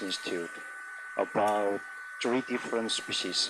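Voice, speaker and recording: A man speaks with a non-native accent. Audible room echo and noticeable background noise surround him. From South Korea. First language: Korean. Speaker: agricultural scientist. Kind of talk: conference talk. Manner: halting.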